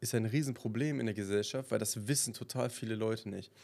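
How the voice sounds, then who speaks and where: The recording is very clean, with a silent background. A man speaks with a dark, mellow tone. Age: 20s. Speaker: podcast host. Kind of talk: casual monologue.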